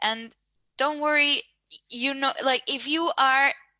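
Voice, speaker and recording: Fairly slow in pace, a woman speaks with a bright, sharp tone. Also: dry, close sound with no echo. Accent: non-native. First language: not English. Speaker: career workshop panelist. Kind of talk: online panel discussion.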